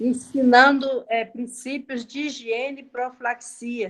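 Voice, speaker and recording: A woman speaks very slowly. Her voice is high-pitched. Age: 60s. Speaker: course participant, former nursing technician. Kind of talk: question in online class.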